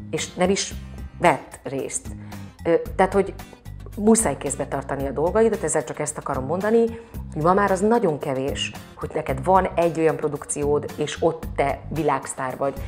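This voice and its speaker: A woman with a very deep, low pitch and lively intonation speaks at a moderate pace, leaving long, frequent pauses over clear background music. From Hungary. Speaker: actress, singer and dubbing voice actor. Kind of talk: interview answer. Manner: casual, conversational. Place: home room. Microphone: lapel.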